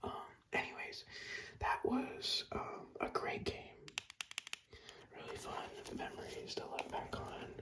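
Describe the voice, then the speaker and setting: A man whispering with long, frequent pauses over noticeable background noise. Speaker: ASMR creator. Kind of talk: ASMR whispered talk about video games. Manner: casual, nostalgic, profane storytelling.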